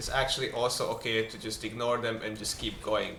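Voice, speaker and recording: A man keeps to a moderate pace, with noticeable background noise in the recording. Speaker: gaming video creator. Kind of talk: game guide voice-over. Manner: mumbling.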